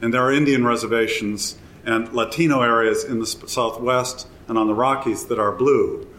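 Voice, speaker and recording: An American-accented man at medium pitch and a moderate pace, flat and monotone in intonation, with audible room echo. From US Midwest, Wisconsin. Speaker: environmental historian. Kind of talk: live interview before audience. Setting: hotel event with live audience.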